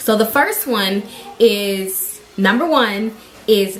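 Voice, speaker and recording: Very slow speech with lively intonation over noticeable background noise. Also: woman. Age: 20s. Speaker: vlogger. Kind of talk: casual vlog talk. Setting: at home. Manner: halting.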